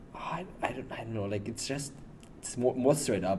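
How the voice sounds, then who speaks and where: The man talks fairly quickly. His voice carries audible room echo. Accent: strong German. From Germany. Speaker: athlete. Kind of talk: casual chat. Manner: halting, many fillers.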